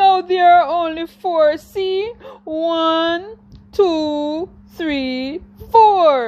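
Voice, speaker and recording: A put-on character voice. It moves at a very slow pace. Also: woman, extremely high pitch for a woman. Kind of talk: bedtime story. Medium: read story.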